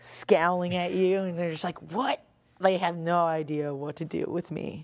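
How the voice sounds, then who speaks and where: With an American accent, a woman speaks in a fairly low, monotone, flat voice, recorded very cleanly against a silent background. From US Northeast, Long Island. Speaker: rock singer. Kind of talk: casual interview. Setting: band practice space.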